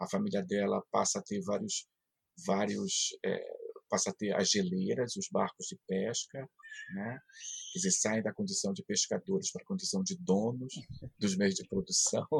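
A man speaks at a moderate pace with long, frequent pauses. The sound is dry and close, with no echo. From Brazil, Pará (Marajó island). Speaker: philosophy professor. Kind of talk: interview.

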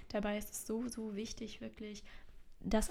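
A woman speaks. Her pace is moderate. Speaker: podcast host, soul coach. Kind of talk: casual solo monologue.

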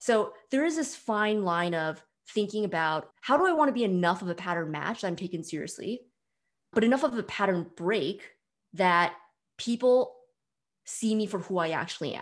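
On a very clean recording with a silent background, a woman speaks at a medium pitch. Her pace is moderate, and her intonation is lively. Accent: American. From US, San Francisco Bay Area. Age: 30s. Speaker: startup co-founder. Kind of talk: interview conversation.

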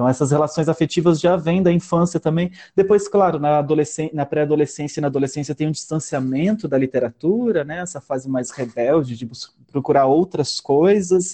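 A man speaks fairly quickly in a fairly high pitch, with ordinary pitch variation. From Palotina, western Paraná, Brazil. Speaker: storyteller and artist. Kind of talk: casual interview chat. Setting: video call.

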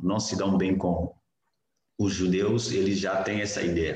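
A man speaks at a fairly slow pace in a plain, everyday voice, his pitch fairly low. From Niger. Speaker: missionary and graduate student. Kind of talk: interview, personal testimony.

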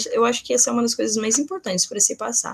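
Fairly high in pitch, the woman's voice also sounds somewhat breathy. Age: 20s. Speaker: nursing student and researcher. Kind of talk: interview.

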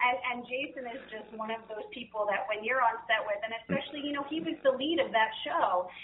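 Noticeable background noise behind a woman with an American accent, high-pitched with ordinary pitch variation, at a fairly quick pace with hardly any pauses and big swings in loudness. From New Jersey. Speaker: actress. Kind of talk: casual interview. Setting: phone call.

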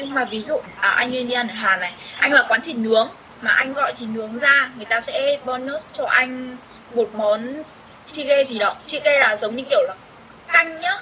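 Over noticeable background noise, a woman uses a raised, projected voice, high in pitch with ordinary variation. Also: moderate pace, big swings in loudness. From Vietnam. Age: 20s. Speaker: university student abroad. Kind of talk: interview.

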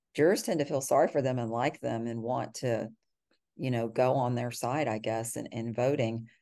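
Against a quiet background, a woman with a Texan accent speaks at a moderate pace, her very deep, low voice dark and mellow with fairly even intonation. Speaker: criminal defense lawyer. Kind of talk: interview.

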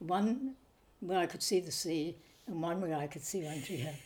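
This woman has a dark, mellow tone and medium pitch, with lively intonation at a moderate pace. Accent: New Zealand. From New Zealand, Nelson. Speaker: retired missionary midwife. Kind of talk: interview. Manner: halting.

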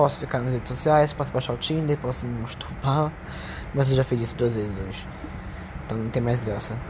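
Amid noticeable background noise and audible room echo, a man talks at a fairly quick pace with ordinary pitch variation and long, frequent pauses. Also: medium pitch for a man. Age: 20s. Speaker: vlogger. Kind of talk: personal monologue. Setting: at home. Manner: casual.

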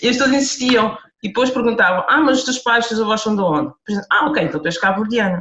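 A woman's fairly high pitch and lively intonation at a very fast pace. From Portugal, Lisbon (Amadora). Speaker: author. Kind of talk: interview.

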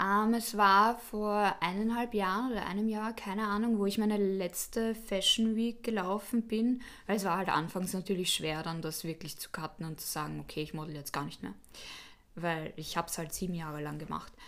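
A woman's medium-pitched voice, an ordinary speaking voice, rises and falls with ordinary pitch variation. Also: moderate pace. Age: 20s. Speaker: student and former model. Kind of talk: interview.

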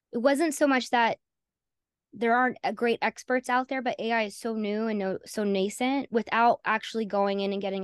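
A woman's fairly high voice with an American accent and fairly even intonation, dry and close with no echo, over a quiet background. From North Carolina, US South. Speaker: AI consultant, founder. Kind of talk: interview conversation.

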